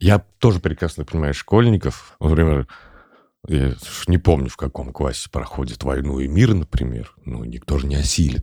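A man's very deep, low voice with a dark, mellow tone and vocal fry, lively intonation, big swings in loudness, a moderate pace, and a dry, close sound with no echo. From Tatarstan, Chistopol. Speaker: podcast host. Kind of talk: casual chat.

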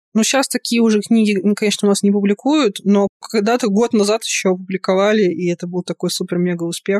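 Speaking at a very fast pace with hardly any pauses, a woman keeps a medium pitch, very even loudness and fairly even intonation in a dry, close sound with no echo. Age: 30s. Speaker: podcast host and fan fiction writer. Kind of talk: casual interview chat.

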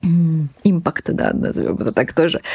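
Recorded very cleanly against a silent background, a woman speaks at a very slow pace. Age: 20s. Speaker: food startup co-founder. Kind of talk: casual chat.

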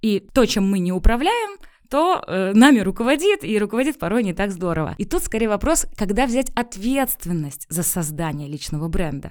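At a moderate pace, a woman speaks at medium pitch with very wide swings in pitch. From Pskov region, Russia. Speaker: personal branding consultant. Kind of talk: interview. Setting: studio.

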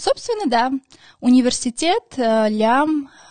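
A woman's dark, mellow voice in an Armenian accent, fairly slow with ordinary pitch variation, dry and close with no echo. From Armenia, then Moscow from age 5. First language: Armenian (speaking Russian). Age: 20s. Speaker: podcast host and social media creator. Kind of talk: casual monologue. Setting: studio.

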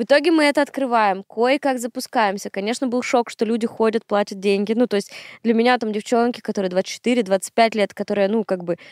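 A woman talks at a fairly quick pace and a fairly high pitch, with ordinary pitch variation, in an unremarkable speaking voice. The recording is very clean, with a silent background. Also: dry, close sound with no echo. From Komi Republic, northern Russia (Syktyvkar). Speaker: math tutor and education entrepreneur. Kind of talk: casual chat.

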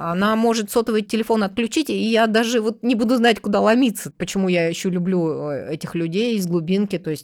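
With a plain, everyday voice, a woman of medium pitch talks with hardly any pauses and ordinary pitch variation. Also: fairly quick pace, very clean recording, silent background. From Russia, Tomsk. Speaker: journalist. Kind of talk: interview.

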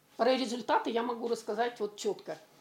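A woman talks at a fairly high pitch. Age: 60s. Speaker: retiree. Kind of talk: testimonial.

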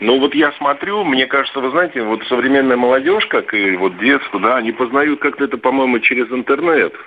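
With an ordinary speaking voice, a man talks at a fairly quick pace, at medium pitch and with ordinary pitch variation. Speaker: caller. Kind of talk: casual chat. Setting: phone call.

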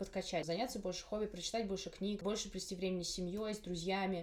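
A woman at a very fast pace. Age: 20s. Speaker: podcast host, university student. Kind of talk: casual interview chat.

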